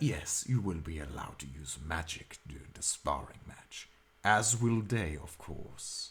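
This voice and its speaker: In a put-on character voice, a man talks at a fairly slow pace with a very deep, low pitch and lively intonation. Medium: actual play. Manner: measured, formal.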